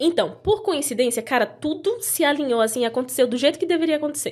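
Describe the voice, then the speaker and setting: A woman speaks with a Brazilian accent. Her tone is animated and her intonation lively. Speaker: former au pair. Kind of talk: casual chat.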